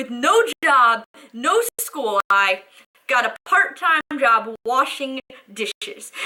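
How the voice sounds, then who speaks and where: Very slow and raised, a projected woman's voice sits at a high pitch with very wide pitch swings, in a dry, close sound with no echo. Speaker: spoken word poet. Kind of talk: spoken word poetry performance.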